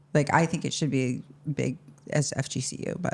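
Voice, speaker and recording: A woman's very deep, low voice at a moderate pace with fairly even intonation. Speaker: podcast host. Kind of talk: podcast intro and interview talk.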